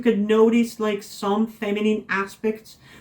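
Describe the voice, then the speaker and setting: This woman has a non-native accent and a dark, mellow tone. She talks at a fairly slow pace. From non-English-speaking country. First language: not English. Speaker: vlogger. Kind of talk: personal vlog monologue. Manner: halting, many fillers.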